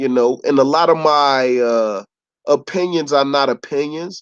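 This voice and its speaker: The speaker has an animated tone and lively intonation at a fairly slow pace, the sound dry and close with no echo over a quiet background. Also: man. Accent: American. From Chicago. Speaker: YouTube commentator. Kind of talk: live-stream rant.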